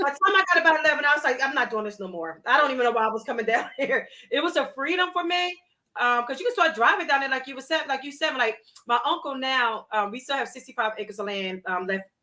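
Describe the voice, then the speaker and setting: A woman talks at a very fast pace in a high, raised, projected voice with a bright, sharp, animated tone. Her pitch swings very widely. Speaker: talk show host. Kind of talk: casual chat.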